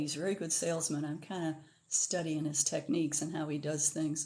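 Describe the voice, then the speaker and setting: At a moderate pace, a woman talks in a dark, mellow tone with fairly low pitch. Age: 70s. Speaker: author and livestream host. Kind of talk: casual livestream monologue. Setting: live stream. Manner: halting, many fillers.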